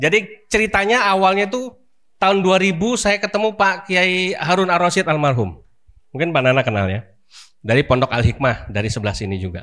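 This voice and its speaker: Over a very clean recording with a silent background, a man speaks fairly quickly at a high pitch, his tone bright and sharp and his pitch swinging very widely. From Jakarta, Indonesia. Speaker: Islamic preacher, boarding school founder. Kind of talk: religious talk to congregation. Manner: conversational, many fillers.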